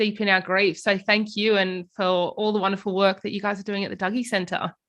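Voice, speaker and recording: Against a quiet background, a woman with an Australian accent speaks in a bright, sharp tone. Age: young. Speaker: podcast host. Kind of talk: interview.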